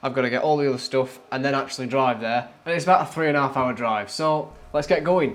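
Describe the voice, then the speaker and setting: At a fairly quick pace, a man talks with medium pitch and ordinary pitch variation. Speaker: overlanding vlogger. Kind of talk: casual vlog narration. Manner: fast; casual, hesitant fillers.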